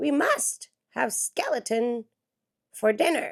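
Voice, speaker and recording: Put-on character voice at a fairly slow pace. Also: woman, high pitch for a woman. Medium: read story.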